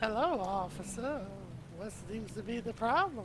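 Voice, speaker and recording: A put-on character voice with fairly high pitch moves at a moderate pace. Loud background noise fills the clip. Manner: disguised, put-on voice.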